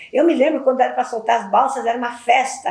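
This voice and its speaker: A high-pitched woman at a very fast pace, over noticeable background noise. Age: 70s. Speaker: community elder. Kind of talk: testimony. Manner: halting.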